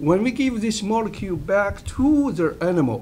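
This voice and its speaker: The speaker has a non-native accent. The pace is fairly slow. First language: not English. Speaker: medical researcher. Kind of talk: roundtable presentation. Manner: halting, many fillers.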